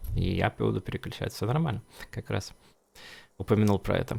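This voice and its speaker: A man's fairly low-pitched voice with vocal fry. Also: very clean recording, silent background. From Russia. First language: Russian. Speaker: game streamer. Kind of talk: casual gameplay commentary. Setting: live stream. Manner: halting, many fillers and restarts.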